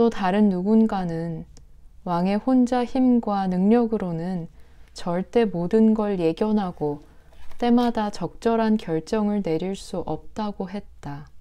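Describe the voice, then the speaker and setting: Speaking very slowly, a woman has a dark, mellow tone at medium pitch. Her pitch varies in an ordinary way. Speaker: audiobook reader, radio-style host. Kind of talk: literary narration of a short story. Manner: soft, calming.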